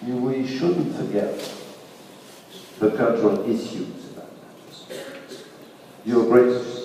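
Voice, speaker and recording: Recorded with noticeable background noise and audible room echo, a man's voice comes through. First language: French. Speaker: audience member at a festival talk. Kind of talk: audience question and comment. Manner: halting.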